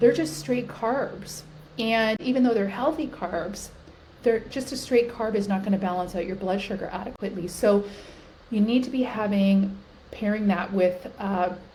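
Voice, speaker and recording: Against noticeable background noise and audible room echo, a woman speaks at a medium pitch with ordinary pitch variation. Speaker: women's health and weight loss coach. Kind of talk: talking-head video tutorial. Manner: fast; animated.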